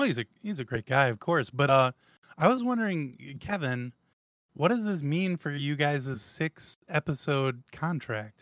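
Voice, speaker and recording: A man with an unremarkable speaking voice talks at a fairly slow pace with lively intonation. The sound is dry and close with no echo, on a very clean recording with a silent background. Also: fairly high pitch for a man. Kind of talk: casual chat. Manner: joking, self-deprecating.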